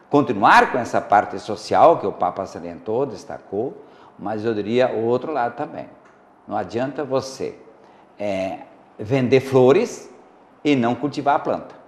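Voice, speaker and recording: A man speaks at a medium pitch and a fairly slow pace with ordinary pitch variation. He leaves long, frequent pauses. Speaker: guest expert on talk show. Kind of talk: TV talk show discussion. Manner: uneven loudness, sometimes too loud, sometimes very quiet; hesitant, many fillers.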